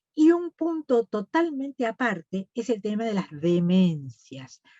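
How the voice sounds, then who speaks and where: A woman speaks with very wide pitch swings. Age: 70s. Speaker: nutritionist. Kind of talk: lecture.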